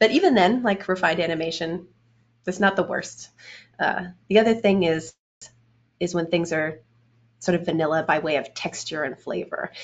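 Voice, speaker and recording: At a moderate pace, a woman talks with a fairly low pitch and ordinary pitch variation. She takes long, frequent pauses. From Canada, Edmonton, Alberta. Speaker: game animator. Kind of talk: interview.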